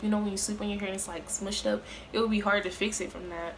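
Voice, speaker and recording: A woman's monotone, flat delivery in a room with audible echo. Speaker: beauty vlogger. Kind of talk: casual vlog talk. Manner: hesitant, filler-heavy.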